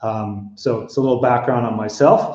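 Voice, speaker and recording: At a fairly slow pace, a man with an American accent uses an ordinary speaking voice and fairly even intonation. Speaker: hotel consulting executive. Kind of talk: webinar presentation.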